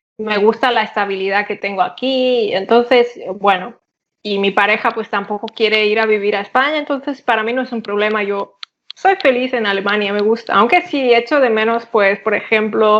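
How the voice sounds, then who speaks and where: The speaker is a woman with a fairly high pitch. Her pitch variation is ordinary. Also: moderate pace. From Catalonia, Spain (Barcelona area). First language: Catalan (speaking Spanish). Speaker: polyglot, interview guest. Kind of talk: casual interview.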